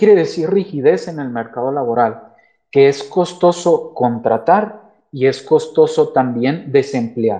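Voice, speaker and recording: His tone dark and mellow, a man talks with lively intonation and big swings in loudness. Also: fairly slow pace. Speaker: economist and professor. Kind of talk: guest talk in a live audio chat room. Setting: online audio chat room.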